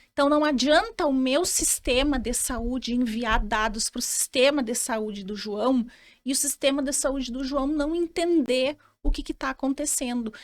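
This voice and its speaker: A woman's high-pitched, fairly slow speech in a southern Brazilian accent, with ordinary pitch variation on a very clean recording with a silent background. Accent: gaúcho. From Rio Grande do Sul, southern Brazil. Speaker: lawyer in health tech. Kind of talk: podcast interview. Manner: halting, many repetitions and fillers.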